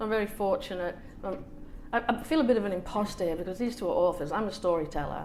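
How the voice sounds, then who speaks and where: Speaking very fast with ordinary pitch variation, a woman with a Manchester accent is heard with audible room echo. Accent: northern English (Manchester). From England, Manchester area, Irish family. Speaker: author and storyteller. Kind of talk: casual storytelling at author event. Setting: hotel salon talk with audience. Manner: animated, acts out family voices.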